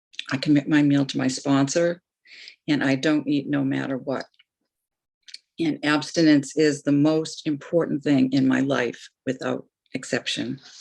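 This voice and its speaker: Delivered in a monotone, flat intonation, the speech moves at a fairly slow pace with long, frequent pauses. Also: woman, very deep, low pitch for a woman. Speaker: twelve-step meeting speaker. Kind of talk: testimony. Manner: deliberately slowed down.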